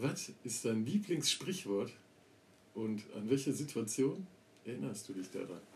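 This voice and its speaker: Somewhat breathy and at a fairly slow pace, a man speaks at a medium pitch with very wide pitch swings and long, frequent pauses. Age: 30s. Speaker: podcast co-host. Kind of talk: casual chat.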